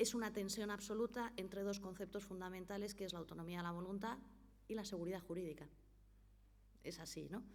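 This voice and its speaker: The speech moves at a fairly quick pace with fairly even intonation, broken by long, frequent pauses, and audible room echo. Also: woman, medium pitch for a woman. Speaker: notary and foundation director. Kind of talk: conference talk. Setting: conference hall with audience and interpreter.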